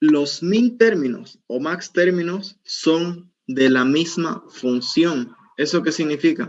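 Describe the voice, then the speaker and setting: A man with a high pitch for a man speaks very slowly with lively intonation and hardly any pauses. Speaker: university teaching assistant. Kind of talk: tutorial.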